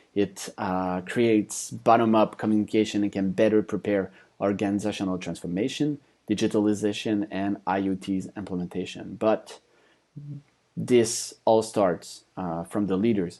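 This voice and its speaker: A man talks at a moderate pace with a fairly low pitch and a dark, mellow tone. His intonation is fairly even, and the background is quiet. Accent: French. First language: French. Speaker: conference speaker, company founder. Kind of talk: conference presentation. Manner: hesitant, many fillers.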